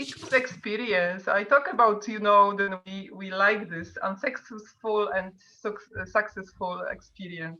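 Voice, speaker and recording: In a Polish accent, a woman at medium pitch speaks at a fairly slow pace with hardly any pauses, ordinary pitch variation and big swings in loudness. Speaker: artist. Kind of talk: casual chat. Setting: video call. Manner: halting.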